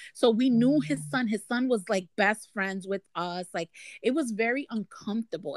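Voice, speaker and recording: A woman's fairly high voice with lively intonation, on a very clean recording with a silent background and a dry, close sound with no echo. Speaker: guest sharing testimony. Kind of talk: testimony.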